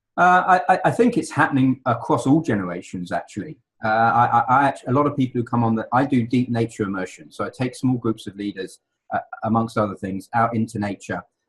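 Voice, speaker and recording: A man's medium-pitched, somewhat breathy voice races at a very fast pace with lively intonation. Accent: English. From England. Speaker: leadership consultant. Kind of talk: interview. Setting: radio show. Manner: halting, many repeated words.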